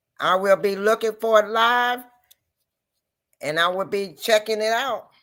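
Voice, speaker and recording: A woman speaks in a normal speaking voice at a fairly slow pace, with fairly high pitch and ordinary pitch variation, on a very clean recording with a silent background. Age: 60s. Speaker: livestream host. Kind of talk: casual chat.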